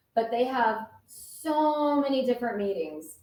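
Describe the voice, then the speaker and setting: Speaking at a fairly slow pace, a woman sounds animated, with ordinary pitch variation and audible room echo. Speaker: operations executive. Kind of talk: interview.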